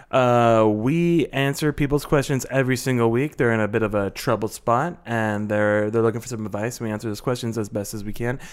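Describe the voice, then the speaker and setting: Very clean and with a silent background, the recording captures a man in an ordinary speaking voice, medium in pitch with ordinary pitch variation, talking at a fairly quick pace with hardly any pauses. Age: 30s. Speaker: advice podcast co-host. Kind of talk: casual chat; show promo and sign-off.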